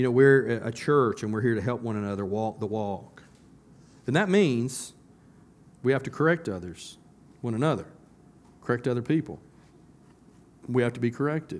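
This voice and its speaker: A man with a Southern US accent speaks at a moderate pace with long, frequent pauses, his medium pitch varying in an ordinary way. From US South. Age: 50s. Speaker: pastor. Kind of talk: sermon. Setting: church. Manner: conversational, halting with fillers.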